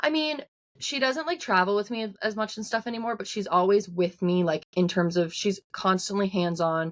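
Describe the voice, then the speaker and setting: At a moderate pace, a woman with a strong Newfoundland accent speaks at a medium pitch with lively intonation. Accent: thick Newfoundland. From Newfoundland, Canada. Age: 20s. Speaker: singer-songwriter. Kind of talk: interview. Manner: casual, many filler words.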